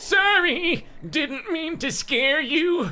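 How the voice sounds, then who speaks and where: A put-on character voice, pitched high. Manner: apologetic.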